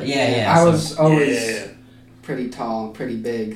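Noticeable background noise sits behind the recording. A man speaks at a very slow pace and a medium pitch with ordinary pitch variation. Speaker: podcast guest.

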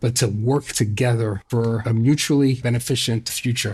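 A man with an American accent speaks at a moderate pace and medium pitch, somewhat breathy. The recording is very clean, with a silent background. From New York City, Brooklyn. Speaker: progressive think tank president, former ambassador. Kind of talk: political interview. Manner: animated.

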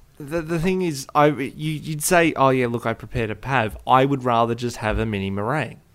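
Recorded very cleanly against a silent background, a man with an Australian accent talks at a fairly quick pace with hardly any pauses, a medium pitch, and ordinary pitch variation. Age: 20s. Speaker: podcast co-host. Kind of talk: casual chat.

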